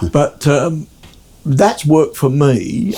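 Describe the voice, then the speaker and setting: Somewhat breathy, a man speaks with an Australian accent. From South Australia (Adelaide), born in England. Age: 70s. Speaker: guitarist. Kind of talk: casual chat. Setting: at his home.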